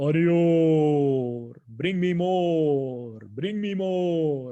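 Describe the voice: At a very slow pace, a put-on character voice speaks in a middle pitch.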